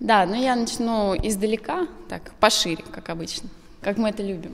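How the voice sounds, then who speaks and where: The pace of this woman's speech is moderate. Her voice varies in pitch in an ordinary way. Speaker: interview guest. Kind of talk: interview answer. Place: studio. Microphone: handheld.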